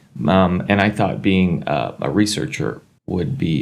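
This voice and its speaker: A man talks in a very deep, low voice. Vocal fry runs through his speech. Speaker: emergency physician. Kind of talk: casual chat.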